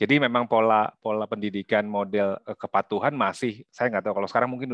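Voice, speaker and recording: Against a quiet background, a man speaks at a very fast pace in a dry sound with no echo. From Indonesia (Jakarta). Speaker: workshop facilitator. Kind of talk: workshop presentation. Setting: video call. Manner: casual, frequent fillers. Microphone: video call.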